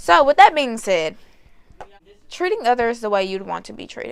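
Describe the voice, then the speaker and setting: The tone is animated. The pitch swings very widely. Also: woman. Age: young. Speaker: vlogger. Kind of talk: casual vlog advice talk. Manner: loud.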